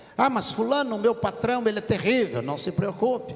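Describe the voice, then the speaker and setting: A man talks while background noise is noticeably present. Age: 60s. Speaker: pastor. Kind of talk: sermon.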